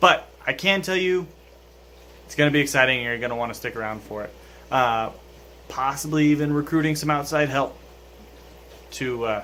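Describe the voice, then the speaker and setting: A man's bright, sharp voice sits at a fairly high pitch, with big swings in loudness and long, frequent pauses. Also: ordinary pitch variation, fairly quick pace. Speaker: fish keeping YouTuber. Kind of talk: casual vlog talk to camera. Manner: hesitant, many fillers.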